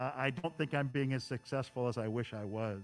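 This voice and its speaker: Using a plain, everyday voice, a man talks at a fairly quick pace at medium pitch with ordinary pitch variation. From US Midwest, Chicago suburbs. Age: 60s. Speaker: model railroader, clinic presenter. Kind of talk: presentation to hobby club. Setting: event hall with live audience and Zoom stream.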